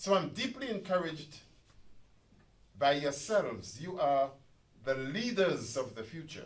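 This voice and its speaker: A man with a fairly high pitch talks at a fairly slow pace in a somewhat breathy voice, with very wide pitch swings, big swings in loudness and long, frequent pauses. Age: 70s. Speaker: professor and activist. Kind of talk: public talk. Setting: community centre meeting with audience. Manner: animated.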